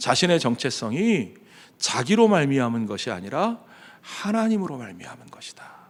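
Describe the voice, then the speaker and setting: A man with a fairly high voice keeps a moderate pace while his pitch swings very widely. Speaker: pastor. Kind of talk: sermon. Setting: church.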